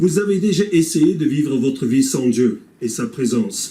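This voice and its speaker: Lively intonation carries a man's fairly high-pitched voice at a fairly slow pace. His tone is dark and mellow. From English-speaking Canada. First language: English (speaking French). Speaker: pastor. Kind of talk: scripted presentation.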